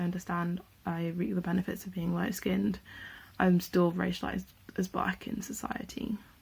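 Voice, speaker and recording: A somewhat breathy woman at medium pitch and moderate pace, on a very clean recording with a silent background. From Gloucestershire, England. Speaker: panel speaker. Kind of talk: prepared statement.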